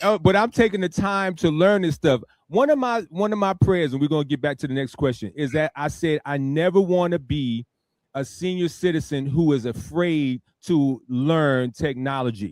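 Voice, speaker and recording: Lively intonation marks an unremarkable speaking voice at a moderate pace, with a dry, close sound and no echo. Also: man, fairly high pitch for a man. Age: 50s. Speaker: radio talk show host. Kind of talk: casual interview chat.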